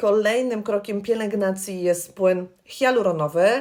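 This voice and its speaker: A woman's unremarkable speaking voice, medium in pitch for a woman, with ordinary pitch variation and a fairly slow pace. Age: 40s. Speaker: beauty consultant. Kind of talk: tutorial. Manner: friendly, conversational.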